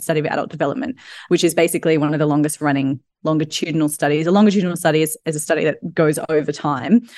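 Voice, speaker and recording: With an Australian accent, a woman talks at a very fast pace in a fairly low pitch. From Australia, Sydney. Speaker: personal trainer and yoga teacher. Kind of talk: casual interview chat.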